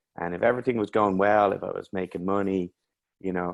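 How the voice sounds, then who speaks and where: Dry and close with no echo, a man's very deep, low voice carries an Irish accent and a monotone, flat intonation over a quiet background. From Ireland. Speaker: mental health coach. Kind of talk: interview.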